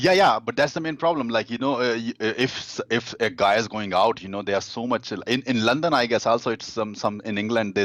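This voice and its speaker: A man with an Indian accent. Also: quiet background. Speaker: dating coach. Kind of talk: interview. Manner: halting, many fillers.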